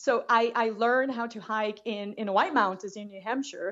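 A woman speaks at a fairly high pitch with a Brazilian accent. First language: Portuguese. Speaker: long-distance hiker. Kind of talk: casual interview.

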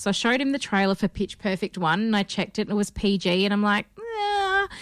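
In a very clean recording with a silent background, a woman with an Australian accent talks fairly quickly at a medium pitch. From Perth, Australia. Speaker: podcast host. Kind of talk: casual chat.

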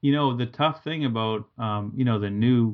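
A man with an American accent speaks at a moderate pace in an ordinary speaking voice, medium in pitch, with fairly even intonation. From Massachusetts, New England. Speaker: painter and art teacher. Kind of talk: casual interview chat.

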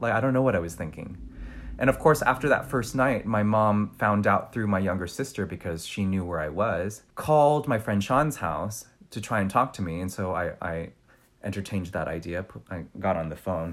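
Fairly low in pitch, this man has an unremarkable speaking voice and an American accent, with lively intonation. He keeps a moderate pace in a very clean recording with a silent background. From US, San Diego (Vietnamese American family). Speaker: dancer and circus performer. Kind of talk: casual interview chat.

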